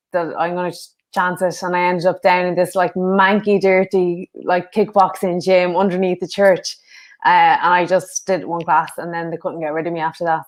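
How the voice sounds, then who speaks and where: A northwest Irish accent in a flat, monotone delivery at a moderate pace, on a very clean recording with a silent background. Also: woman. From Ireland, Sligo. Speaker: former kickboxer and karate athlete. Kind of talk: interview. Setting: podcast.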